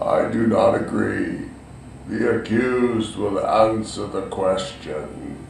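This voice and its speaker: A man performs a put-on character voice at medium pitch. He goes at a fairly slow pace, with a slight echo. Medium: audio drama. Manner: stern, authoritative.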